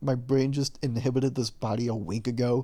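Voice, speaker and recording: A man's mumbling at a medium pitch, dark and mellow in tone, with ordinary pitch variation. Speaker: video creator. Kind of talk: personal vlog monologue. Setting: lying in bed at home. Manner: forced louder, projected.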